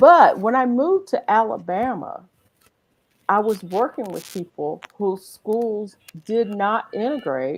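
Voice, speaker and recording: A woman with a Southern US accent speaks very slowly. Her fairly high voice makes very wide pitch swings. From Eastern North Carolina. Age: 50s. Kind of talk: casual chat.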